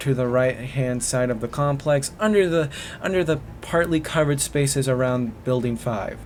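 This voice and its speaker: The speech moves at a moderate pace with ordinary pitch variation, and background noise is noticeable. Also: man. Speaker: YouTuber. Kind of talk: reading aloud. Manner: halting.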